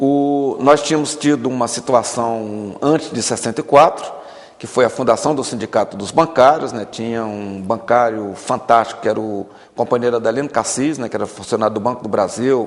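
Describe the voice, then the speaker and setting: A man's unremarkable speaking voice, medium in pitch, at a moderate pace with ordinary pitch variation. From Brazil, Maranhão interior. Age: 50s. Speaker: politician. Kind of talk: tv interview.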